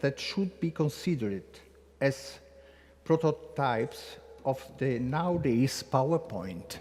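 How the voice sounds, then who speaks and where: A man's fairly high, somewhat breathy voice with an Italian accent, lively intonation, and a fairly slow pace. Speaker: conference speaker. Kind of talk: welcome speech read aloud. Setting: conference room in a basilica. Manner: halting, reading from text.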